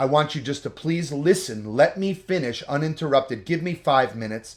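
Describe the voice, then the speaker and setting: A fairly quick, animated voice with lively intonation and a New Jersey accent, on a very clean recording with a silent background. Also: man. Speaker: couples vlogger. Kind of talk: casual advice chat.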